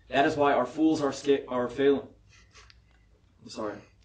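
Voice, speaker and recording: A man with a fairly high pitch keeps his intonation fairly even as noticeable background noise goes on behind him. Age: young. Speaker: political candidate. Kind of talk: candidate forum closing statement.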